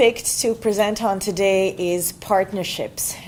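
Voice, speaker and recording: A woman speaks at a very slow pace with a medium pitch. Noticeable background noise is present. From Bosnia-Herzegovina. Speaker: nurse. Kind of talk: panel presentation.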